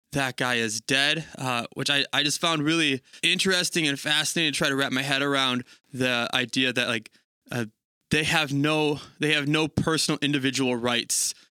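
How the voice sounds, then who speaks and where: A man with a plain, everyday voice speaks at a fairly high pitch and a moderate pace, with fairly even intonation and very even loudness, in a very clean recording with a silent background and a dry, close sound with no echo. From Italian-American. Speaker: church staff guest. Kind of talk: casual Bible discussion.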